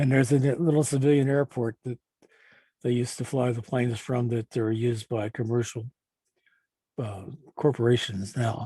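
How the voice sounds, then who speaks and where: Somewhat breathy and dark, mellow in tone, a man with an American accent speaks at a moderate pace with fairly even intonation and long, frequent pauses. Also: medium pitch for a man, dry, close sound with no echo. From Baltimore, Maryland. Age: 80s+. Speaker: retired man narrating a video tour. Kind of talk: casual narration over a flyover video. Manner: halting, with many repetitions.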